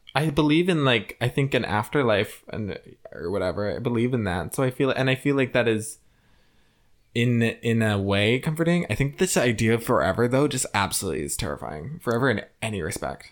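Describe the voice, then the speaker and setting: Using an unremarkable speaking voice, a man talks at a fairly quick pace with medium pitch and lively intonation. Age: 20s. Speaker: podcast co-host. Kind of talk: casual chat.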